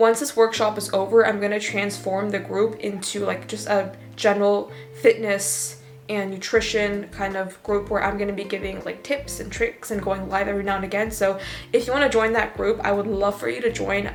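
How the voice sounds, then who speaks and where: Fairly quick speech with fairly even intonation over noticeable background noise. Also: woman. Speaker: fitness coach and vlogger. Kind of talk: casual vlog talk. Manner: casual, filler-heavy.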